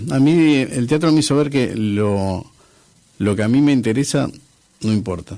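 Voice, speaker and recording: Speaking fairly slowly with long, frequent pauses, a man has a medium-pitched voice and a dark, mellow tone. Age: 60s. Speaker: former public theatre manager and musician. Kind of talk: radio interview. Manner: halting, many fillers and repetitions.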